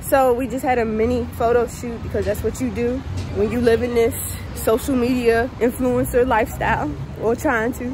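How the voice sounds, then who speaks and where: Over music in the background, a woman talks at a moderate pace, the sound dry with no echo. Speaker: vlogger. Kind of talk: casual vlog chat. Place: street. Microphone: phone near.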